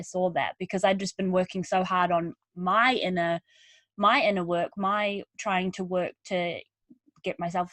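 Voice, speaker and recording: A woman with a New Zealand accent speaks at a medium pitch with ordinary pitch variation, in a dry, close sound with no echo and a quiet background. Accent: twangy New Zealand. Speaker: podcast host. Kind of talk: podcast interview.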